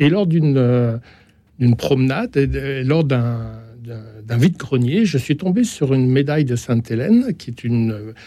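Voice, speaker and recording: Speaking at a fairly slow pace with long, frequent pauses, a man uses a dark, mellow tone at medium pitch and lively intonation, recorded very cleanly against a silent background. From France, Hautes-Alpes. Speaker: novelist and former editor. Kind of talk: radio discussion.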